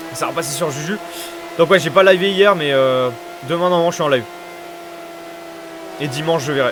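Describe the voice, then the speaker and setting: Noticeable background noise under a man's fairly quick, high-pitched speech with ordinary pitch variation. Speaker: sim racing commentator and streamer. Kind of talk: live commentary. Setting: live stream. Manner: fast; hesitant, many fillers.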